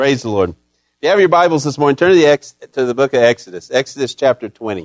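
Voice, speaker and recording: The man has a fairly high pitch, ordinary pitch variation and an unremarkable speaking voice, recorded with a dry, close sound with no echo. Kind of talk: fervent pastoral prayer. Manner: earnest, warm, heartfelt, pleading.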